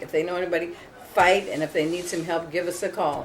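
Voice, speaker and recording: Over noticeable background noise, the fairly quick talk comes with an American accent. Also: woman. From US Midwest, Minneapolis. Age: 60s. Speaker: homeowner facing foreclosure. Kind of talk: interview.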